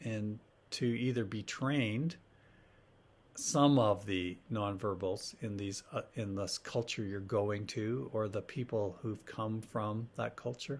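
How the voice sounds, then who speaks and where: A man with a Canadian accent, fairly low in pitch with ordinary pitch variation, at a very slow pace on a very clean recording against a silent background. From Canada (Ontario, Alberta). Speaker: professor. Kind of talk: lecture. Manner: hesitant, with fillers.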